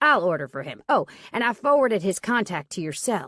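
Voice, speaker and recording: A female-sounding voice growls in a put-on character voice at a fairly high pitch. The pace is fairly quick, and the recording is very clean with a silent background. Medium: read story. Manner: easygoing, matter-of-fact.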